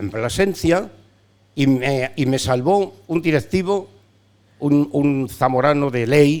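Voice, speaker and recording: A man with a fairly high pitch and ordinary pitch variation speaks very slowly, with long, frequent pauses. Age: 70s. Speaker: veteran sports radio broadcaster. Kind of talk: casual interview chat. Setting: bar.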